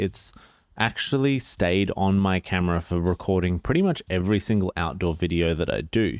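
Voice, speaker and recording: A man mumbles with an Australian accent at a moderate pace and fairly low pitch, with ordinary pitch variation. The recording is very clean with a silent background. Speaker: photography youtuber. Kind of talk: product review. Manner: mumbling; casual. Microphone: new microphone.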